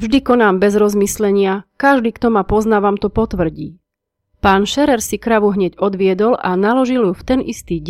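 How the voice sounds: A natural reading voice is heard, the background quiet.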